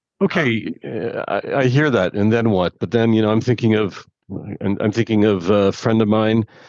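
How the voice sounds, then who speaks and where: The voice is a plain, everyday voice. It moves at a moderate pace with fairly even intonation. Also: man. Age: 50s. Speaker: podcast co-host. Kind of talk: casual chat.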